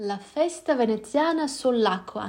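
A woman talks at a fairly slow pace with lively intonation. Hers is a plain, everyday voice. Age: 30s. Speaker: podcast host. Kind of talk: solo podcast narration.

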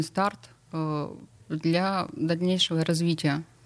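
This woman's voice sits at a medium pitch. She talks at a very slow pace. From St Petersburg, Russia. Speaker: blogger, nutrition marathon author. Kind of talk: casual talk show chat. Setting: radio studio.

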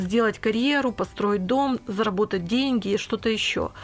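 Speaking at a moderate pace, a woman uses an ordinary speaking voice, fairly high in pitch with ordinary variation. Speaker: business coach and mentor, podcast co-host. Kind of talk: casual conversation.

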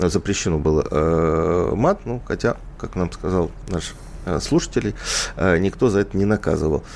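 A man's voice is very deep and low, with ordinary pitch variation. He talks at a fairly slow pace with long, frequent pauses. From Ukraine, Odesa. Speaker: radio host. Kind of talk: radio talk show. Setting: studio.

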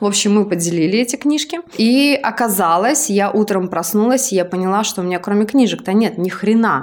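Speaking at a medium pitch with lively intonation, a woman uses a normal speaking voice at a fairly quick pace with hardly any pauses. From outside Moscow, Russia. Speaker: podcast host and entrepreneur. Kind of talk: casual chat.

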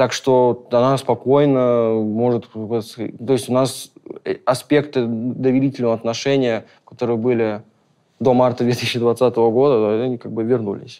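At a fairly slow pace, a man speaks with a dark, mellow tone, a medium pitch and monotone, flat intonation. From Caucasus. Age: young. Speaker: film crew worker. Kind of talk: personal testimony. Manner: halting, many fillers.

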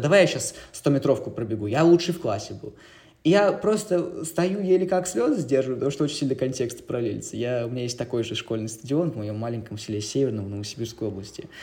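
Somewhat breathy and very fast, a man speaks at a medium pitch with a dark, mellow tone. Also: lively intonation. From Siberia, Russia (Novosibirsk). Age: 20s. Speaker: documentary filmmaker and journalist. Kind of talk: casual interview chat.

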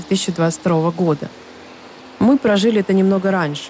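A woman talks at a medium pitch, with noticeable noise in the background. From Ukraine, Donetsk. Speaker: podcast host. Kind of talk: scripted narration.

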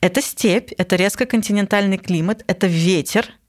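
A non-native accent with ordinary pitch variation. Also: woman. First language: not Russian (speaking Russian). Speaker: psychologist podcast host. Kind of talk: casual chat.

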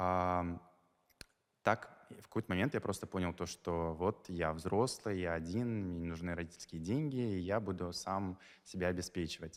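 A man's very deep, low voice with ordinary pitch variation and a moderate pace. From Dagestan, Russia (Makhachkala). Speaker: event guest manager and society columnist. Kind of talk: interview. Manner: halting, with repetitions.

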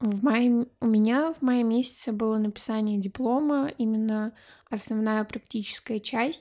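In a very clean recording with a silent background, a woman with a fairly high pitch speaks slowly-ish, at a fairly slow pace, with fairly even intonation and a normal speaking voice. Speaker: podcast co-host, graduate student. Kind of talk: casual chat.

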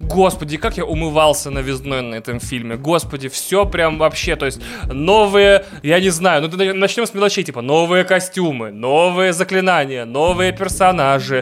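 A fairly high-pitched man speaks at a moderate pace in an animated tone. His intonation is lively, with noticeable background noise behind him. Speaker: podcast co-host. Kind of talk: casual chat.

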